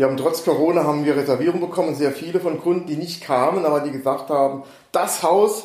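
Over noticeable background noise and audible room echo, a man with a fairly high pitch races along at a very fast pace with ordinary pitch variation. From Saarland, Germany. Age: 60s. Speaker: real estate agent. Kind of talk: casual interview. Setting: in person on Mallorca.

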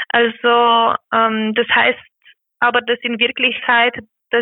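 A woman speaks with a Romanian accent. Her pitch is fairly high. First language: Romanian (speaking German). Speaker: care worker activist. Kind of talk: interview.

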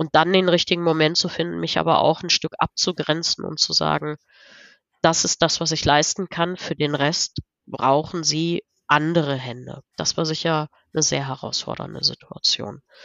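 A woman's very deep, low voice with vocal fry, fairly even intonation, and a moderate pace. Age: 40s. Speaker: business coach. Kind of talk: interview.

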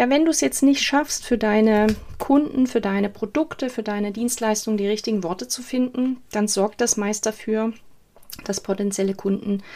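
A woman speaks in an ordinary speaking voice at a moderate pace. Her pitch sits fairly high, with lively intonation. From eastern Germany, Saxony. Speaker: copywriter and podcast host. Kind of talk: solo podcast monologue.

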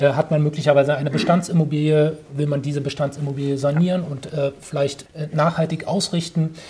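A man's fairly high, somewhat breathy voice with a dark, mellow tone, monotone and flat, at a fairly quick pace with hardly any pauses. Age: 40s. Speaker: real estate developer. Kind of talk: interview. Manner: hesitant with many fillers.

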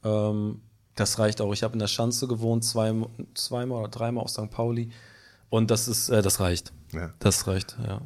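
Flat, monotone delivery comes at a moderate pace in a very clean recording with a silent background. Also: man, medium pitch for a man. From Hamburg. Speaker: singer-songwriter and producer. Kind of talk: casual chat.

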